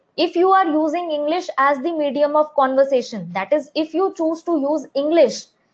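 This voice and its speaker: An Indian accent from a woman with a high pitch, ordinary pitch variation and a moderate pace. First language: Hindi. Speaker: English teacher. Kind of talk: live online class.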